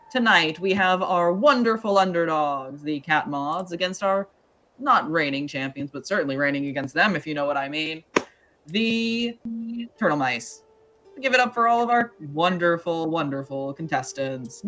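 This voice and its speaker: A booming, put-on character voice speaks at a moderate pace in a middle pitch. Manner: excited, showman-like.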